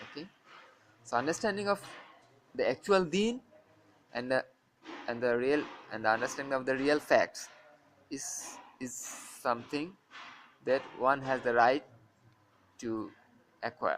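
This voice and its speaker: A fairly high-pitched man with a non-native accent, fairly slow and lively in intonation, with long, frequent pauses. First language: not English. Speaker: Islamic religious teacher. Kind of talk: religious lecture. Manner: halting, many fillers.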